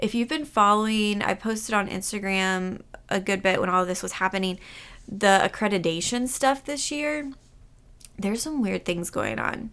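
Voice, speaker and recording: Her intonation lively, a woman with an ordinary speaking voice speaks at a moderate pace and medium pitch. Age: 30s. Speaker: podcast host for aspiring physician assistants. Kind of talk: casual solo podcast recap. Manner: conversational, lightly laughing.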